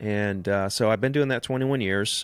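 With a Southern US accent, the voice moves through ordinary pitch variation. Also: man. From Alabama. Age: 40s. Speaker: real estate agent and coach. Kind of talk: casual interview.

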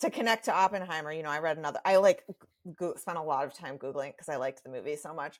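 A woman with a very deep, low pitch talks at a very fast pace, her loudness swinging widely and her pitch varying in an ordinary way. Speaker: novelist and management consultant. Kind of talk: casual interview chat. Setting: remote call.

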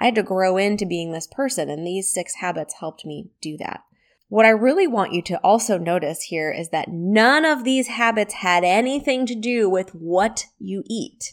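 A woman with a plain, everyday voice at medium pitch, a moderate pace, and hardly any pauses, on a very clean recording with a silent background. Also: lively intonation. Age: 40s. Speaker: wellness podcast host and coach. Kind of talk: solo podcast talk. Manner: conversational.

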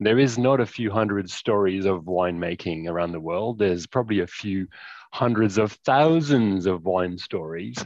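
A man talks at a moderate pace with a fairly low pitch and ordinary pitch variation. It is a plain, everyday voice against a quiet background. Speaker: wine tech founder. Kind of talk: casual chat.

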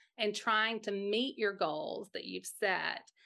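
A woman with an American accent speaks very slowly in a fairly high, bright, sharp voice. The background is quiet. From Mississippi, US South. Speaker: podcaster and life coach for moms. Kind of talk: casual interview.

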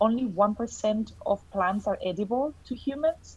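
Somewhat breathy and fairly high-pitched, a woman speaks with ordinary pitch variation. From Colombia. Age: 30s. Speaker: nutritional therapist. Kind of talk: interview.

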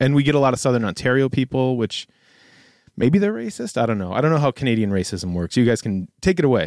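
On a very clean recording with a silent background, a man with a Buffalo accent talks very fast, his pitch swinging very widely. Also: medium pitch for a man, dry, close sound with no echo. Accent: Western New York (Buffalo) American. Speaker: schoolteacher and guest co-host. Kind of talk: casual chat.

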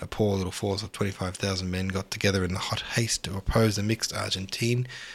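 The speaker uses a natural reading voice. Intonation stays fairly even.

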